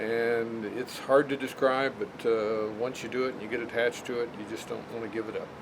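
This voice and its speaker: A man's medium-pitched voice at a fairly quick pace, hardly any pauses, monotone and flat, over noticeable background noise. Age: 60s. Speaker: motorcycle rider. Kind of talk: casual interview.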